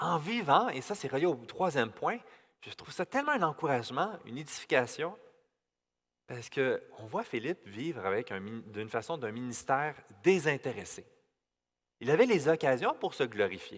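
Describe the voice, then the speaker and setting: On a very clean recording with a silent background, a man with a fairly high pitch talks at a moderate pace, with very wide pitch swings, big swings in loudness and long, frequent pauses. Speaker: pastor. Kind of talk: sermon. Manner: stutter; halting.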